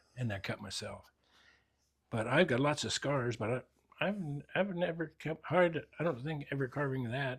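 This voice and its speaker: A man's somewhat breathy, fairly high-pitched voice at a moderate pace, with ordinary pitch variation and long, frequent pauses. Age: 80s+. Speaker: woodcarver. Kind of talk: interview during shop tour. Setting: home workshop. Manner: halting, repetitive.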